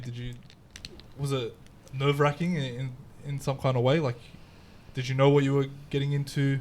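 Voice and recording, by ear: A man's medium pitch with little pitch movement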